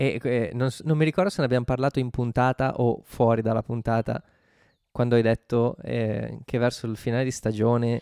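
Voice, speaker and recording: On a very clean recording with a silent background and a dry, close sound with no echo, a man speaks at a medium pitch and moderate pace with a dark, mellow tone and fairly even intonation. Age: 30s. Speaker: podcast co-host. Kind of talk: casual chat about a TV show.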